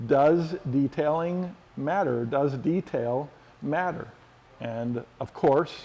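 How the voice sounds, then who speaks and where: A man with an American accent speaks very slowly in a fairly high voice with a dark, mellow tone and ordinary pitch variation. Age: 60s. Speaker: car care product expert. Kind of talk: tutorial. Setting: body shop. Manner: casual, with frequent fillers.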